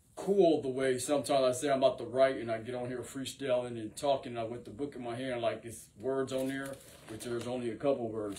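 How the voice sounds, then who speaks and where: The voice moves at a fairly quick pace with fairly even intonation, over noticeable background noise. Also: man. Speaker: rapper and singer. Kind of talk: freestyle monologue to camera. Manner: rambling, filler-heavy delivery.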